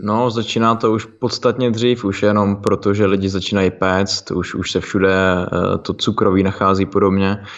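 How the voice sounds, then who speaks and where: With hardly any pauses, a man talks at a moderate pace in a fairly low, monotone voice with flat intonation. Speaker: fitness podcast co-host. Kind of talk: casual chat.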